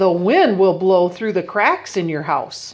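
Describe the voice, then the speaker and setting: Speaking at a fairly slow pace, a woman uses a put-on character voice at a medium pitch. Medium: read story.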